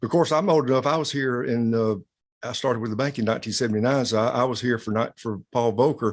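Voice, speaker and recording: Speaking very fast in a South Carolina accent, a man uses a medium pitch with ordinary pitch variation. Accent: South Carolina Southern. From US South, South Carolina. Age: 60s. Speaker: bank president. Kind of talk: interview.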